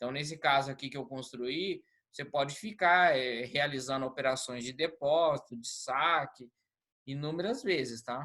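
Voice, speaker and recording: This is a man with a bright, sharp tone. His pitch varies in an ordinary way. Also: fairly high pitch for a man, moderate pace. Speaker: lecturer. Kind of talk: online lecture.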